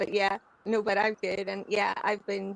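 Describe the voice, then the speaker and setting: A woman at a medium pitch and moderate pace, in an Irish accent, with a dry, close sound and no echo. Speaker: podcast co-host covering international news. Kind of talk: livestream casual chat. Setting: livestream.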